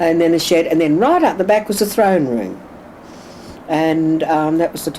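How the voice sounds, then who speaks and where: Fairly quick, lively intonation over noticeable background noise. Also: woman. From Australia, Sydney (Woolloomooloo). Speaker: oral history interviewee. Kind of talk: oral history interview. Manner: halting.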